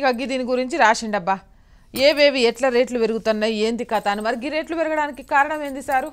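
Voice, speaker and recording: An animated tone with ordinary pitch variation comes through over a quiet background. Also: woman, high pitch for a woman. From Telangana. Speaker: news show host. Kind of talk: satirical newspaper review. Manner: animated, colloquial. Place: studio. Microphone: lapel.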